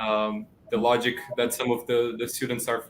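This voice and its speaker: Medium in pitch, a man speaks at a moderate pace with monotone, flat intonation. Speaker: student writing tutor. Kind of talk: panel discussion.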